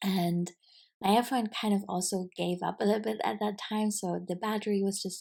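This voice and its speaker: This woman has a non-native accent and a dark, mellow tone at a medium pitch. She speaks at a moderate pace with monotone, flat intonation, on a very clean recording with a silent background. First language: not English. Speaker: podcaster and business coach. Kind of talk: casual solo podcast reflection. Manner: hesitant, filler-heavy.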